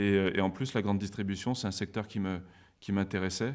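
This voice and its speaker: A man speaks at a moderate pace and a fairly low pitch, in a monotone, flat intonation. The recording is very clean, the background silent. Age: 30s. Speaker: business school alumnus, former store manager. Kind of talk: interview. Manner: hesitant, many fillers.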